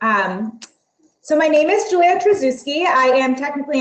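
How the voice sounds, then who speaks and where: A woman talks in a normal speaking voice at a moderate pace. Her pitch variation is ordinary. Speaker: university marketing director presenting admissions. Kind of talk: webinar presentation. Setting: online webinar with screen share.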